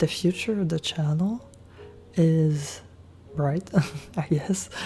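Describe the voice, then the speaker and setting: A soft-spoken woman with a very deep, low pitch and ordinary pitch variation talks at a very slow pace in a relaxed tone, with music playing behind her. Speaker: ASMR content creator. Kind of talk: ASMR soft talking update to camera. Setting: Blue Yeti microphone, close-mic'd. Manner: soft-spoken, relaxed.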